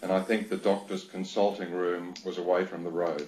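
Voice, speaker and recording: A man with an Australian accent, flat and monotone in intonation, at a moderate pace. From Australia, Sydney. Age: 60s. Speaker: doctor, inquiry witness. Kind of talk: reading aloud a witness statement. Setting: video link to a hearing. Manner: formal.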